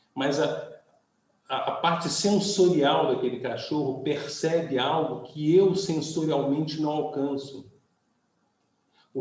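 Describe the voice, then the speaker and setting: This man has an unremarkable speaking voice, fairly high in pitch, with ordinary pitch variation and a fairly slow pace. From Brazil, Rio de Janeiro. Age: 60s. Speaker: pastor. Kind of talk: sermon.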